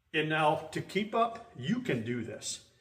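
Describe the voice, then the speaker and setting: Fairly high pitch for a man, with noticeable noise in the background. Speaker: fishing charter captain. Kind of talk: tutorial. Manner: fast.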